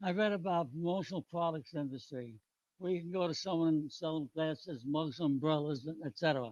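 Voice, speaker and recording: A man with a New York accent talks at a fairly quick pace, his pitch fairly high with ordinary variation. The sound is dry and close, with no echo. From New York City, the Bronx. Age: 90s. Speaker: retired businessman and army veteran. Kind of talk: public hearing testimony. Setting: public hearing with audience.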